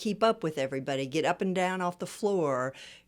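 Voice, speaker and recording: A woman with a Midwestern accent talks at a very fast pace in a very clean recording with a silent background. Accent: General American (Midwest). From US Midwest, Kansas City. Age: 60s. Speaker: fitness client, amateur athlete. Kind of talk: interview conversation.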